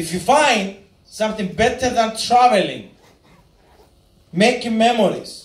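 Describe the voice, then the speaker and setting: With audible room echo, a man speaks in an animated tone at a high pitch. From Cyprus. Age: 20s. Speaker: network marketing speaker. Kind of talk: motivational speech.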